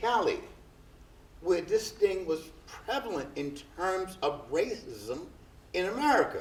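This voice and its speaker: With audible room echo, a man with a high pitch and very wide pitch swings speaks at a very slow pace with long, frequent pauses. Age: 70s. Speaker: prison uprising survivor. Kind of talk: panel discussion. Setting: stage with audience.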